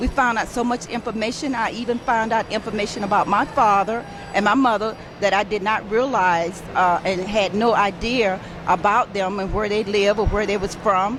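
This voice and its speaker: Over noticeable background noise, a woman speaks at a moderate pace in a medium pitch with fairly even intonation. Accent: American. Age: 60s. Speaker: retiree. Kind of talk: testimonial.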